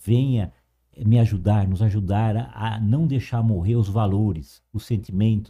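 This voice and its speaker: A man's somewhat breathy, dark, mellow voice, fairly low in pitch, at a fairly slow pace, on a very clean recording with a silent background. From interior of São Paulo state, Brazil. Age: 50s. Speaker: cultural association director. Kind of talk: interview.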